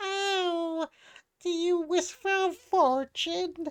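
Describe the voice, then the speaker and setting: In a put-on character voice, a man speaks at an extremely high pitch and a very slow pace. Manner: creepy.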